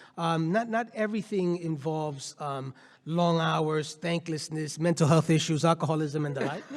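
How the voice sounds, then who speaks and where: This man's pitch is fairly high, with ordinary variation. He keeps a moderate pace. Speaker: nonprofit CEO and law professor. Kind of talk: panel discussion. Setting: conference stage with audience. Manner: loud; animated.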